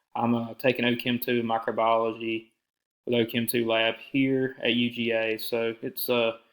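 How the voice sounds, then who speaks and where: With a Southern US accent, a man speaks at a moderate pace in a medium pitch, his intonation monotone and flat and his loudness very even. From US South, south Georgia (Alma). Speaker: university student. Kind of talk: self-introduction to a professor. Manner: casual with fillers.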